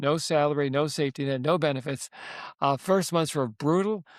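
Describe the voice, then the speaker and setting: A man's fairly high voice at a very fast pace with ordinary pitch variation, in a very clean recording with a silent background. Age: 70s. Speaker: author and investor. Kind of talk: interview storytelling. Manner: hesitant fillers.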